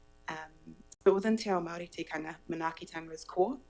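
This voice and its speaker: Over music in the background, a woman with a fairly low voice speaks at a very fast pace with ordinary pitch variation. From New Zealand, Kapiti Coast. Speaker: local government advisor on exchange visit. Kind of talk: formal presentation.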